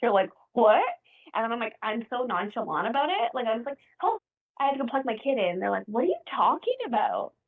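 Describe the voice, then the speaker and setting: Loud and animated, a woman speaks at a very fast pace in a high pitch. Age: 40s. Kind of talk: casual podcast interview. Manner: loud, talkative.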